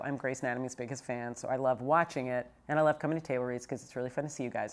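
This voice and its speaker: Talking at a very fast pace, a woman uses ordinary pitch variation. The recording is very clean, with a silent background. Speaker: TV executive producer and podcast host. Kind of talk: casual chat.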